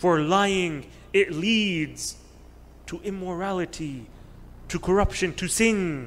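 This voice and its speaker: Here a man speaks with a high pitch and ordinary pitch variation. His pace is very slow. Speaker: religious teacher. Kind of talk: sermon. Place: hall. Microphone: podium.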